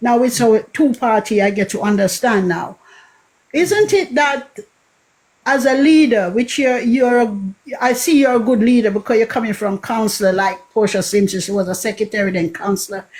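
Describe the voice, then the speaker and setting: A moderate pace in a Jamaican accent. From Jamaica, Kingston (Greenwich Town). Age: 60s. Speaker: caller. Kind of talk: call-in question on a radio-style show.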